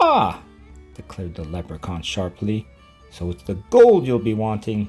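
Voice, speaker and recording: A man's put-on character voice with a fairly low pitch, over faint music in the background. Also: moderate pace. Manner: sharp, brisk.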